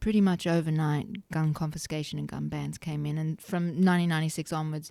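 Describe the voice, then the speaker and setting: In an Australian accent, a woman speaks at a fairly quick pace with a very deep, low pitch and a dark, mellow tone. Her intonation is fairly even, and the recording is very clean with a silent background. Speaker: gun rights advocate. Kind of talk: podcast interview.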